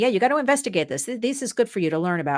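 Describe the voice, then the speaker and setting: Over a silent background in a very clean recording, a woman speaks in an animated tone with very wide pitch swings and a dry, close sound with no echo. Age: 60s. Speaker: advocacy show host. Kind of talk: interview chat.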